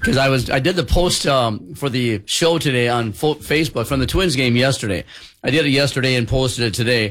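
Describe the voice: A man talks at a fairly quick pace in a fairly bright tone. His pitch is medium for a man, with ordinary variation.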